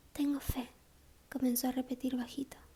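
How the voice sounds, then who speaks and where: A soft-spoken woman with a high pitch and a calm tone, monotone, flat intonation, and a moderate pace. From Argentina. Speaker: ASMR audiobook reader. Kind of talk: audiobook reading, sleep story. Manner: soft-spoken, calm.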